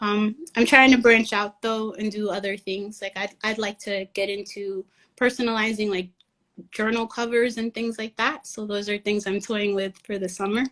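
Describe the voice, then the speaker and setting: A woman with a Spanish accent speaks at a fairly high pitch. Her delivery is monotone and flat, at a moderate pace. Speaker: writer and lettering artist. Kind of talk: casual interview chat.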